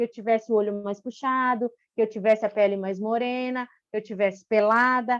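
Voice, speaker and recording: The pace is moderate. The sound is dry and close, with no echo at all. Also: woman. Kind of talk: panel talk. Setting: online live stream. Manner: hesitant, frequent 'né' fillers.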